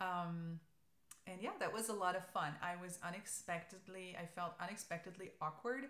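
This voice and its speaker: There is audible room echo around a woman with a German accent who speaks at a medium pitch. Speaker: knitting podcaster. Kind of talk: casual chat. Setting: alone in an empty room. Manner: hesitant, many fillers.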